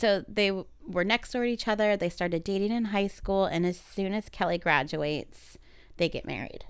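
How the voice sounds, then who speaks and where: Pitched in the medium range, a woman talks in a plain, everyday voice with ordinary pitch variation. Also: moderate pace. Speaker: podcast host. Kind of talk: casual chat, story retelling.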